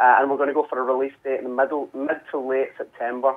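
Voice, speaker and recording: A man's very fast, medium-pitched voice with a Scottish accent. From Scotland, Glasgow. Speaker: musician. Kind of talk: radio interview. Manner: halting, many repetitions and fillers.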